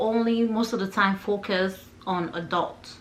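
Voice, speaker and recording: A woman speaks with a non-native accent, and audible room echo can be heard. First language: not English. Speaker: lifestyle vlogger. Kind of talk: personal vlog talk. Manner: casual, conversational.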